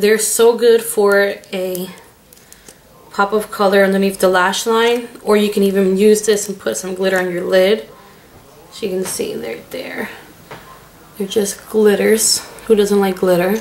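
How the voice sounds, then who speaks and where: Amid noticeable background noise, a woman talks at a fairly slow pace with long, frequent pauses and monotone, flat intonation. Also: medium pitch for a woman. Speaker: beauty vlogger. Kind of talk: product review vlog.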